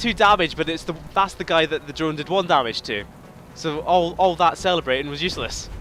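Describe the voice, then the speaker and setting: Fairly quick and animated, a man's bright, sharp voice sits at a fairly high pitch with vocal fry and ordinary pitch variation. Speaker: gaming video creator. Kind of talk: let's play commentary.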